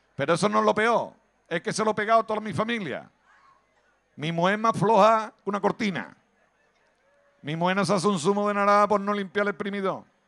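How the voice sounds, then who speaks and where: A man with a high, bright, sharp voice sounds animated and speaks at a fairly quick pace. His pitch variation is ordinary, and he takes long, frequent pauses. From Andalusia, Cádiz province (Villamartín). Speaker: stand-up comedian. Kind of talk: stand-up.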